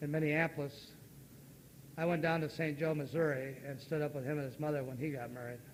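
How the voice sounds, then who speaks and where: The speech comes at a fairly quick pace with fairly even intonation, and audible room echo is present. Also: man. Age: 60s. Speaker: recovery meeting speaker. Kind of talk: recovery testimony.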